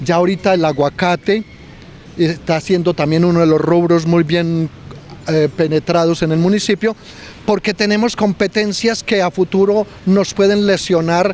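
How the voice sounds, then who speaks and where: A high-pitched man speaks at a fairly slow pace and very even loudness, with noticeable background noise behind him. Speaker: local historian. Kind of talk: interview. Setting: outdoors. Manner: halting.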